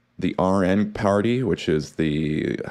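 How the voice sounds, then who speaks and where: The recording is very clean with a silent background, and a man's voice sounds very deep and low. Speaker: news commentary host. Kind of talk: casual news commentary. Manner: casual, halting with fillers.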